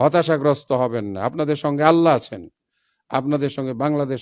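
A man with a fairly high pitch. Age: 60s. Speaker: professor and Islamic organization leader. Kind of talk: public statement.

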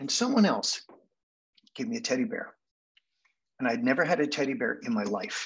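A man with a Canadian accent speaks at a fairly quick pace and a fairly high pitch. His pitch swings very widely, broken by long, frequent pauses. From Manchester, England, then Canada; England. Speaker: hypnotherapy speaker; speaker. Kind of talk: storytelling presentation. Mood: reflective, nostalgic childhood story. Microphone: video call.

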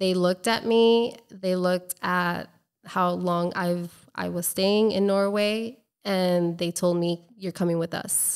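This woman has an American accent and a flat, monotone delivery. She talks fairly slowly, with long, frequent pauses. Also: quiet background. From Colombia and Florida. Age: 30s. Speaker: travel blogger and entrepreneur; travel blogger. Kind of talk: casual interview. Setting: in person, drinking wine. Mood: earnest, reflective. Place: home room. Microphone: studio mic.

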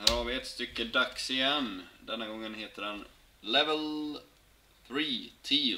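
Light background noise runs under a man's speech. He talks at a very slow pace with big swings in loudness. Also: ordinary pitch variation. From Sweden. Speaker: hockey card box-break streamer. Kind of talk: live stream card opening chat. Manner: animated. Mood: pleased, upbeat. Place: home room. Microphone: webcam.

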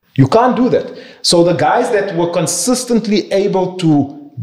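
There is audible room echo around the voice. A man talks at a moderate pace with lively intonation. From South Africa. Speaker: property investor and banker; podcast guest. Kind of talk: interview conversation. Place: office.

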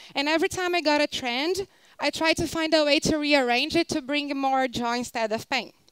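Against a quiet background, a woman speaks at a high pitch with a Portuguese accent and ordinary pitch variation. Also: fairly quick pace, dry sound with no echo. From Brazil, Rio de Janeiro. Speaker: designer and speaker; speaker. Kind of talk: conference talk. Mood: warm, upbeat.

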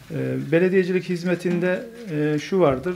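A man keeps a moderate pace while light background noise plays behind him. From Turkey, Konya; Turkey. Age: 50s. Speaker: mayor. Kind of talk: speech to an association; formal speech at meeting. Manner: hesitant, many fillers. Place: meeting room. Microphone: podium.

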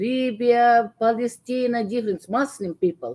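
A woman speaks at a fairly slow pace. Her tone is dark and mellow, and her pitch is fairly high. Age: 70s. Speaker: Bible study participant. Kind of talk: Bible study discussion. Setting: video call. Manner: halting.

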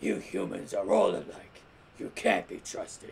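This man uses a raspy put-on character voice at an extremely high pitch for a man. His pace is moderate. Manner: cool, cold.

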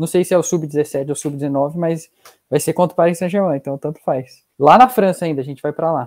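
A man talks at a fairly quick pace in a fairly high pitch with ordinary pitch variation over a quiet background. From Brazil, interior of São Paulo state (Taubaté); São Paulo, Brazil. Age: 20s. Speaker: young footballer on sports exchange. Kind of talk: casual interview; interview answer. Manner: halting. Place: home room.

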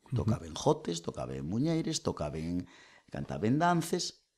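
The voice moves slowly, at a fairly slow pace, with very wide pitch swings. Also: man. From Asturias, Spain (lower Nalón area). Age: 40s. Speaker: folk singer, nurse and oral tradition researcher. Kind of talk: casual chat. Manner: animated.

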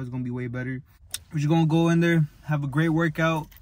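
A somewhat breathy voice with fairly even intonation, recorded dry with no echo. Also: man. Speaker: vlogger. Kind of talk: casual vlog chat. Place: car. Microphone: phone near.

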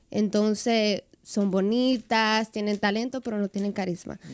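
At a fairly slow pace, a woman is talking. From Dominican Republic, Santiago. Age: 20s. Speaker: social media influencer and dancer. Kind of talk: radio interview, casual chat. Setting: radio studio. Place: studio. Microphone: studio mic.

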